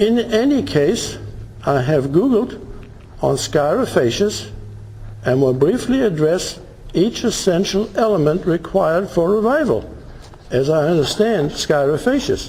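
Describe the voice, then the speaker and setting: A man's high voice with very wide pitch swings, a fairly slow pace and long, frequent pauses, at very even loudness, with audible room echo and noticeable background noise. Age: 70s. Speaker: self-represented litigant. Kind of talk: courtroom hearing, reading a prepared pleading aloud. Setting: courtroom. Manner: deliberate, with pauses.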